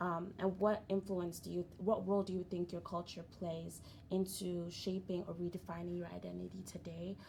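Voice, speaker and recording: A woman speaks with a fairly low pitch and a dark, mellow tone. Her voice is somewhat breathy, and her intonation is monotone and flat. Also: moderate pace. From Nigeria. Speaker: podcast host. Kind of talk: casual group discussion.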